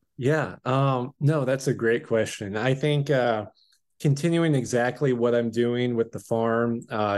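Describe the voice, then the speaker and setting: Against a quiet background, a man speaks fairly slowly at a medium pitch. He has a plain, everyday voice and fairly even intonation. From Washington State, US. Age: 20s. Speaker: farm operations manager. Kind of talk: casual chat.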